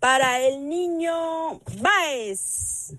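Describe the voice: The voice has a fairly bright tone and ordinary pitch variation. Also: woman.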